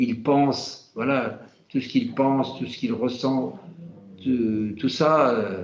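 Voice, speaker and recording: The speech comes at a very slow pace, with audible room echo. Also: man. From France, Normandy. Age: 70s. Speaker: Hare Krishna devotee. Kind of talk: casual conversation. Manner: halting, many hesitations.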